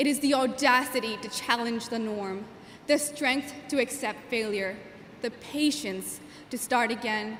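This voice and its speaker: A woman talks in a high voice while audible room echo and noticeable background noise surround her. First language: Gujarati. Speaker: graduating student valedictorian. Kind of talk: commencement speech. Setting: stage with audience. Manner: formal.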